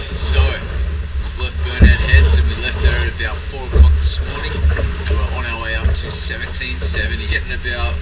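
Over loud background noise, a man talks at a moderate pace with hardly any pauses. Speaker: sailing vlogger. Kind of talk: casual vlog chat. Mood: relaxed, content.

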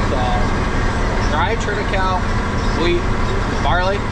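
A man at a fairly slow pace, against loud background noise. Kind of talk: casual vlog chat. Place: car. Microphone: camera far.

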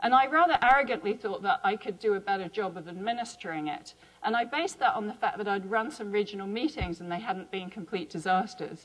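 A woman's medium-pitched voice with a southern English accent, very fast pace, lively intonation and hardly any pauses. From England, Chiltern Hills; England. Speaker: biology professor and associate dean; biology professor. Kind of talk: conference talk. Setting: symposium stage with audience. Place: hall. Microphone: lapel.

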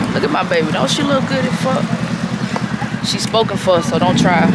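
Loud background noise fills the clip. Over it, a woman speaks at a fairly quick pace. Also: dry sound with no echo. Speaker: vlogger's friend filming. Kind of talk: casual vlog chat. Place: street. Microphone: phone near.

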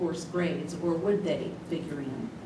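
A woman talks at a fairly slow pace. Noticeable background noise runs underneath. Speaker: presenter. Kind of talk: formal report to a board. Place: meeting room.

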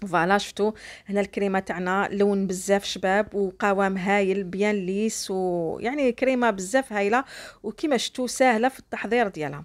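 A woman with a plain, everyday voice speaks at a moderate pace and medium pitch, with ordinary pitch variation, in a very clean recording with a silent background. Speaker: cooking YouTuber. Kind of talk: cooking tutorial. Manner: warm and chatty.

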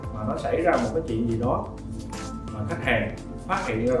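Someone speaks at a very fast pace, with audible room echo and clear music in the background. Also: man. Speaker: real estate sales manager. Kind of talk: advice talk to camera. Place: office. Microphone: camera far.

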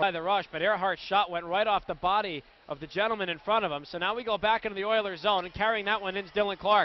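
This man has a high voice and an excited tone. He talks very fast with hardly any pauses. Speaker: radio play-by-play announcer. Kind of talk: live sports commentary, hockey play-by-play. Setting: arena broadcast at the game. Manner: fast, excited, rapid-fire calls that rise on goals.

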